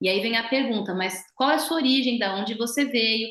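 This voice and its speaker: A woman's normal speaking voice, fairly high in pitch with ordinary pitch variation, at a moderate pace. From Brazil. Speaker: physiotherapist. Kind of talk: interview.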